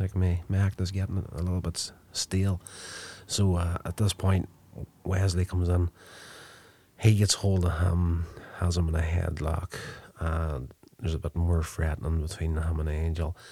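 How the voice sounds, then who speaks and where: At a moderate pace and with long, frequent pauses, a man speaks in a very deep, low pitch, his somewhat breathy voice dark and mellow in tone. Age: 40s. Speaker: podcast host reviewing TV episodes. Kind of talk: solo episode review and recap. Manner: casual, with frequent filler 'uh'.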